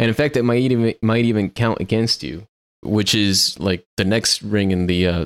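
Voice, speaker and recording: Pitched fairly low, a man with a Spanish accent speaks at a moderate pace with ordinary pitch variation, in a dry, close sound with no echo on a very clean recording with a silent background. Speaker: podcast host, software developer. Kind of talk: casual technical chat.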